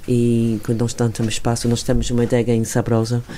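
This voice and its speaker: A woman's very deep, low voice at a moderate pace, over noticeable background noise. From England. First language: English (speaking Portuguese). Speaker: wine estate owner. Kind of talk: interview. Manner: halting.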